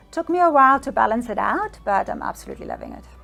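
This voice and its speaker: A woman speaks with a German accent. Noticeable background noise can be heard. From Germany, Bavaria. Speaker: psychic medium. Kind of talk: interview answers. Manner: conversational with hesitations.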